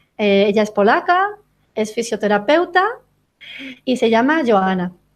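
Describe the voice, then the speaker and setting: A woman's fairly high voice in a Spanish accent, fairly quick and with lively intonation, on a very clean recording with a silent background. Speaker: interviewer, podcast host. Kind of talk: promotional announcement; interview. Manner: halting.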